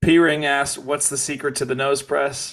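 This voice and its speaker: Using a fairly high pitch with vocal fry, a man with an American accent speaks at a fairly quick pace. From Kansas. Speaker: podcast host. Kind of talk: reading listener questions; casual interview chat.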